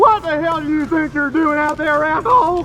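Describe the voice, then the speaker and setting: A put-on character voice shouts at a high pitch and a moderate pace. Clear background noise runs underneath. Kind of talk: confrontational. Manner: yelling, angry.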